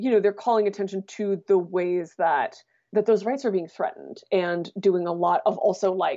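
Her intonation remains fairly even. The woman's pitch sits in the medium range. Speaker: writer and podcast host. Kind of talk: casual interview. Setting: remote recording from home.

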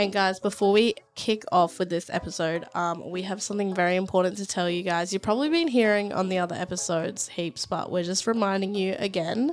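A woman talks at a medium pitch. Her pace is fairly quick, with few pauses. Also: ordinary pitch variation.

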